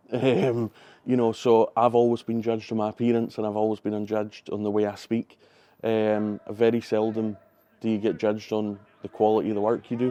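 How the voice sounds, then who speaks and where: A man speaks at a fairly quick clip with a Highland Scottish accent, his pitch fairly low. His tone is dark and mellow, his intonation flat and monotone. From Scottish Highlands. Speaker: football club general manager. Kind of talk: interview.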